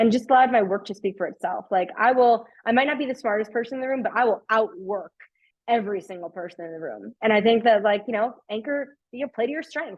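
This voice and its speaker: In a strong Long Island accent, a woman talks at a very fast pace and a fairly high pitch, animated in tone, with ordinary pitch variation and big swings in loudness. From New York, Long Island. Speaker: customer success executive. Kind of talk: webinar talk.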